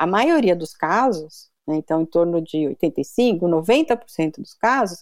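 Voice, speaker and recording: A woman speaks at medium pitch in an unremarkable speaking voice. Her intonation is lively. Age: 50s. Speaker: biomedical scientist and professor. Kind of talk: interview.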